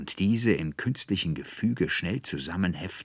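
Pitch varies in an ordinary way across this natural reading voice.

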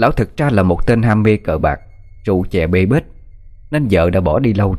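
This natural reading voice has lively intonation.

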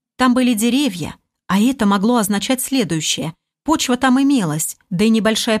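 Over a quiet background, the pitch of an unforced reading voice varies in an ordinary way.

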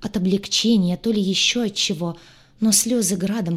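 Someone reads in an unforced reading voice.

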